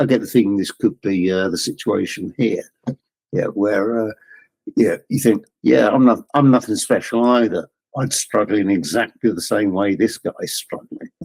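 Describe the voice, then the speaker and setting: A man at medium pitch speaks at a moderate pace with ordinary pitch variation, the sound dry and close with no echo. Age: 60s. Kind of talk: casual chat. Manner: halting.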